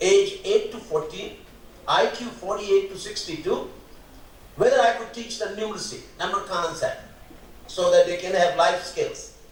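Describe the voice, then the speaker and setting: A man speaks at a moderate pace with long, frequent pauses and big swings in loudness. Noticeable background noise and audible room echo are present. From India, Rajasthan. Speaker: mathematics educator. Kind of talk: keynote lecture.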